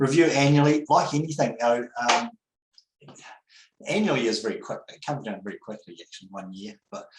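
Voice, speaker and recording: A man with a New Zealand accent, fairly high in pitch, with very wide pitch swings, big swings in loudness and long, frequent pauses. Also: fairly quick pace. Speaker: accountant. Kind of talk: webinar presentation. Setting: online webinar. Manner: fast; hesitant, many fillers.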